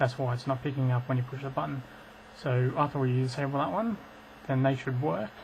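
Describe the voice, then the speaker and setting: Speaking at a medium pitch with ordinary pitch variation, a man sounds somewhat breathy and leaves long, frequent pauses. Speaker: gamer, IT tech. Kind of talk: casual tutorial voice-over.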